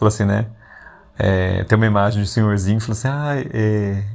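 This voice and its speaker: A man is speaking. He has an unremarkable speaking voice. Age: 40s. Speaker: podcast host. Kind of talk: casual reflective monologue. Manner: conversational, with frequent fillers.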